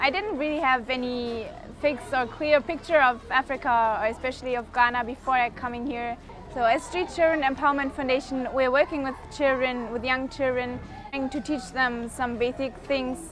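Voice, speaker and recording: A woman with a German accent speaks at a moderate pace in a high pitch, her intonation fairly even. Noticeable background noise is present. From Germany. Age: 20s. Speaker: volunteer. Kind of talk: documentary interview.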